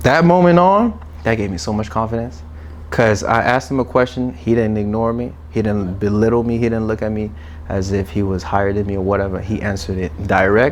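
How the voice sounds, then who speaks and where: A man with a fairly low pitch, lively intonation and a fairly quick pace, amid noticeable background noise. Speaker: content creator. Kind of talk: casual interview conversation.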